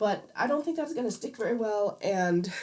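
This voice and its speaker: Speaking with a Midwestern accent, a woman uses a fairly high pitch and lively intonation at a moderate pace. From US Midwest. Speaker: streamer. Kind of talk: casual livestream chat while crafting. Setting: livestream. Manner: hesitant, many fillers.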